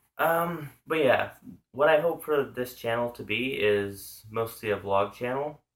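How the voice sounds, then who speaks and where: This man speaks with a Pacific Northwest accent. His medium-pitched voice has lively intonation. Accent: Pacific Northwest American. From US Pacific Northwest, Washington state. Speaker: vlogger. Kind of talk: casual vlog monologue. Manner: halting, many fillers.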